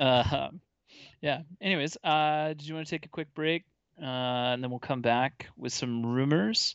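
A man with a fairly high pitch talks at a moderate pace with ordinary pitch variation in an ordinary speaking voice, the sound dry and close with no echo against a quiet background. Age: 30s. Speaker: podcast host. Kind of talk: casual chat.

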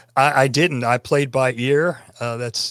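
With a Tennessee accent, a man talks at a medium pitch in a dry, close recording with no echo and a silent, very clean background. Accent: Southern US (Tennessee). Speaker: podcaster and musician. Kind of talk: interview conversation.

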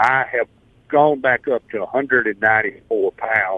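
The pace here is moderate. The speaker talks in a Southern US accent. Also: man. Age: 70s. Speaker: caller. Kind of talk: testimony. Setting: phone call.

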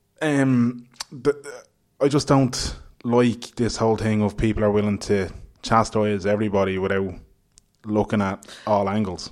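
With an Irish accent, a man speaks at a fairly low pitch and fairly even intonation. He leaves long, frequent pauses. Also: moderate pace. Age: 20s. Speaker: podcast host. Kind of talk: casual chat. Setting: hotel room.

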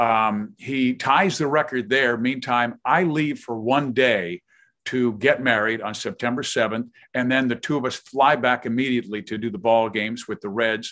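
Against a quiet background, a man with an American accent talks at a moderate pace in a normal speaking voice, medium in pitch with ordinary pitch variation. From Kansas City, US Midwest. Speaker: retired sports broadcaster and author. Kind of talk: interview, casual chat.

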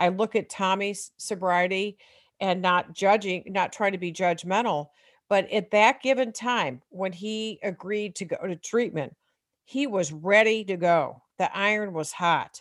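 A woman with an American accent and a plain, everyday voice speaks at a fairly slow pace and a medium pitch with ordinary pitch variation, in a very clean recording with a silent background. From US Midwest. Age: 60s. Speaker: author and recovering alcoholic parent. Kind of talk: interview testimony.

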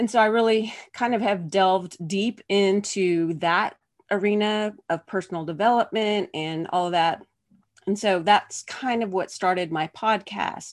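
A woman speaks with an American accent at a medium pitch. Her pace is fairly slow and her intonation fairly even. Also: quiet background. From US Pacific Northwest (Oregon). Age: 40s. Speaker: podcast host and physical therapist. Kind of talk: casual interview.

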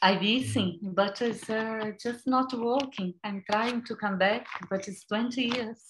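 A woman's fairly high voice in a Brazilian Portuguese accent, at a very slow pace. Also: fairly even intonation. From Brazil, rural São Paulo. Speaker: vegan chef and cookbook author. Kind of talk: casual interview chat.

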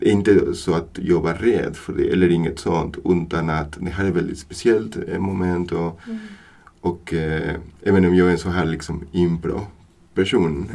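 A man with a Spanish accent talks at a fairly slow pace with fairly even intonation. His very deep, low pitch has a dark, mellow tone. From Buenos Aires, Argentina. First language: Spanish (speaking Swedish). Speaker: new father. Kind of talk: casual chat.

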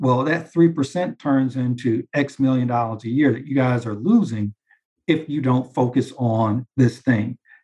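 The tone is dark and mellow, somewhat breathy. Delivery comes at a fairly slow pace. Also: man, medium pitch for a man, ordinary pitch variation, dry, close sound with no echo. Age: 40s. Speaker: commercial real estate banker. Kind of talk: interview.

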